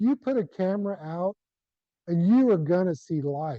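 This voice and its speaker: Very slowly, a man with a Texan accent speaks at a high pitch in a dark, mellow tone with ordinary pitch variation, the sound dry and close with no echo. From South Central Texas. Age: 60s. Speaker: retired rancher and conservationist. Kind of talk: presentation. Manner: animated.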